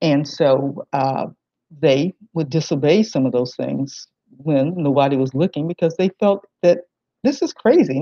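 With an American accent, a woman speaks at a fairly slow pace in a dark, mellow tone with lively intonation, the sound dry with no echo over a quiet background. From southwestern Virginia, US South. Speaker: historian and museum director; presenter. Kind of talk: lecture. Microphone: webcam.

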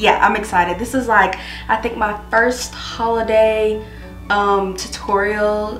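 A woman talks at a fairly slow pace. Audible room echo and faint background music can be heard. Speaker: beauty vlogger. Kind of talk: casual vlog chat. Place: home room.

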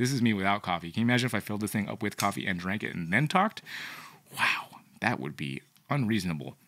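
A man's fairly low, vocal-fry voice, bright and sharp, racing at a very fast pace with lively intonation. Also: quiet background. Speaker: reptile breeder and video host; video host. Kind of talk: casual vlog talk to camera. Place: studio. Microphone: studio mic.

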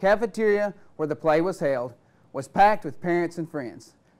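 Talking at a fairly quick pace, a man uses lively intonation and a high pitch. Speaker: teacher. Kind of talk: classroom instruction. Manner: clear; very explicit explanation. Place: classroom. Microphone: lapel.

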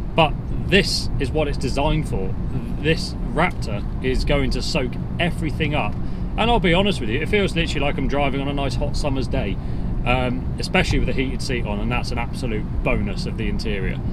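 There is loud background noise. A man talks, and the sound is dry with no echo. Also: fairly quick pace. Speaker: presenter. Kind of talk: car review commentary. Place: car.

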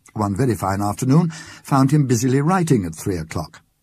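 At a moderate pace, a man with a medium pitch and a dark, mellow, somewhat breathy tone makes very wide pitch swings on a very clean recording with a silent background. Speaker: actor. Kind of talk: ghost story reading.

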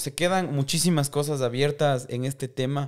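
An ordinary speaking voice from a man, fairly high in pitch and fairly slow, against a quiet background. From Ecuador, Riobamba; Ecuador. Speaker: podcast host. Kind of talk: interview. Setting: studio. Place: studio. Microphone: studio mic.

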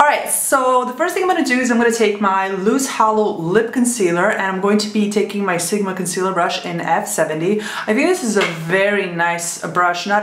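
A woman's pitch varies in an ordinary way while noticeable background noise plays behind her. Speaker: beauty vlogger. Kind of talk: makeup tutorial talk to camera.

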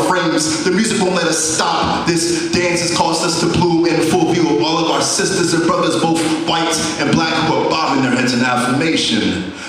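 In strong room echo and light background noise, a man talks at a moderate pace and a high pitch with hardly any pauses. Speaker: spoken word poet. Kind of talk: spoken word poetry performance. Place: stage.

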